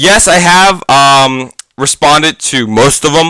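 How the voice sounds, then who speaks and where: Loud and bright, a man with a sharp tone speaks at a fairly high pitch with lively intonation. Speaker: gaming youtuber and podcaster. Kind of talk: casual podcast monologue. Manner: halting, many fillers. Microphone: too close to microphone.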